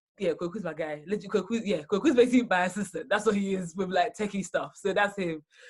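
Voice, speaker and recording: Barely pausing, a woman rattles along at a very fast pace, somewhat breathy, at a medium pitch with ordinary pitch variation. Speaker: podcast host. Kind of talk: casual interview chat.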